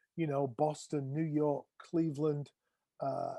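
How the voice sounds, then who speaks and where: A man with an English accent, fairly high pitch, dark, mellow tone, monotone, flat intonation and a fairly slow pace, in a dry, close sound with no echo. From England. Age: 60s. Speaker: drummer. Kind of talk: interview. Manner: halting.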